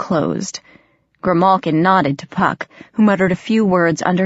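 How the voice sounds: Someone reads in a natural voice, the intonation staying fairly even. Behind it, all is quiet.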